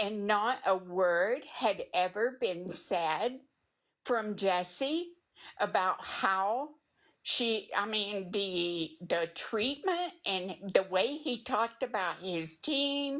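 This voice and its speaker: In a Tennessee accent, a woman talks at a very slow pace with lively intonation over a quiet background. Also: medium pitch for a woman. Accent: Tennessee Southern. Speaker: true crime community member apologizing. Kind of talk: live stream apology statement.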